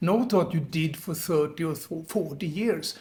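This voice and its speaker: A man's voice is high in pitch yet dark and mellow in tone. He speaks fairly slowly, with ordinary pitch variation. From Sweden. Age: 70s. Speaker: retiree, online business coach. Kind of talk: motivational talk to camera.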